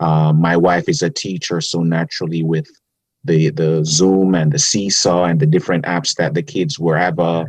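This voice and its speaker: Very deep and low, a man's voice with a strong Jamaican accent keeps a moderate pace, very even loudness, and ordinary pitch variation. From Jamaica, Kingston. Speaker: public defender. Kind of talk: casual interview. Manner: gentle.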